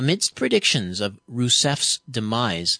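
Over a quiet background, a man talks at a fairly slow pace, his pitch swinging very widely. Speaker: radio host. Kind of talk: radio interview.

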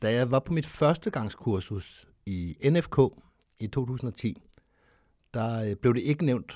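A man talks with a dark, mellow tone at a medium pitch. The recording is very clean, with a silent background. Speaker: podcast co-host, skydiver. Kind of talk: casual chat.

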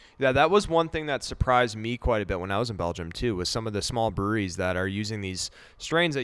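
A man with a fairly low pitch speaks at a fairly quick pace with lively intonation. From Wisconsin. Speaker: podcast host, brewer. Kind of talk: casual chat. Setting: brewery barrel cellar.

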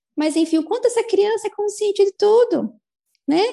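At a moderate pace, a woman speaks with lively intonation and a dark, mellow tone. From Brazil, Americana, São Paulo state. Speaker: certified energy-therapy facilitator and mother. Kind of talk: interview conversation.

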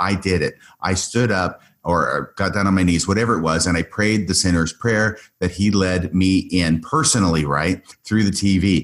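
A man's very deep, low voice at a moderate pace, with ordinary pitch variation and very even loudness, in a very clean recording with a silent background. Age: 60s. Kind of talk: long-form interview conversation.

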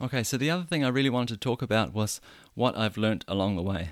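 Recorded very clean with a silent background and a dry, close sound with no echo, a man speaks at a fairly quick pace with a New Zealand accent and ordinary pitch variation. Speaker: podcast host. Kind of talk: solo monologue. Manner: repetitive stammering on words.

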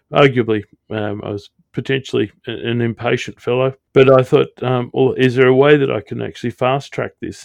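With an Australian accent, a man delivers his words at a moderate speed. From Australia, Sydney. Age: 50s. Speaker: airline pilot. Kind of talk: interview.

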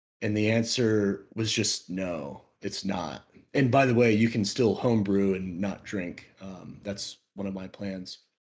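At a fairly slow pace, a man talks in an unremarkable speaking voice, fairly low in pitch, with ordinary pitch variation. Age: 20s. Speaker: podcast guest, friend of host. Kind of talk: casual chat.

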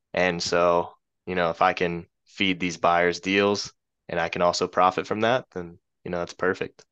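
A man's very deep, low voice in an American accent, bright and sharp in tone, fairly even in intonation, at a moderate pace, with a dry, close sound, no echo, and a quiet background. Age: 20s. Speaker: real estate wholesaler. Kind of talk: casual interview.

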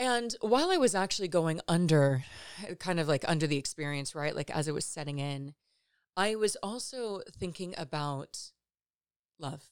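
A woman with a plain, everyday voice speaks in an American accent at a moderate pace. Her pitch is fairly low, and her intonation is lively. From Los Angeles, California. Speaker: podcast host. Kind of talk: solo reflective monologue about personal story.

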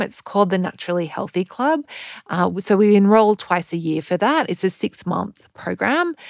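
In a very clean recording with a silent background and a dry, close sound with no echo, a woman speaks at a medium pitch in an Australian accent. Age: 40s. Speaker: podcast host and health coach. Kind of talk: casual monologue.

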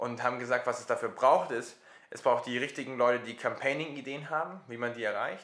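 Speaking at a fairly quick pace, a man with a medium pitch keeps his intonation fairly even while his loudness swings widely, with audible room echo. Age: 20s. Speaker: social startup founder. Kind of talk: interview.

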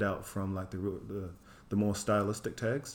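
A fairly low-pitched man in a New Zealand accent at a moderate pace. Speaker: artist. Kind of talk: casual interview chat.

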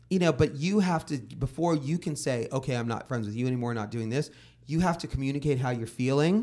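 A man with an American accent talks at a fairly quick pace in a normal speaking voice, fairly high in pitch with ordinary pitch variation. The recording is very clean, with a silent background. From Los Angeles, San Fernando Valley. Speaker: music journalist. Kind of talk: casual chat.

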